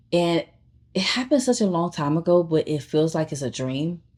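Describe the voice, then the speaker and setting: A woman with an American accent, fairly low-pitched and animated, at a moderate pace on a very clean recording with a silent background. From Chicago, south side. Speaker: vlogger, aspiring actor and filmmaker. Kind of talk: personal storytelling vlog. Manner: animated, conversational.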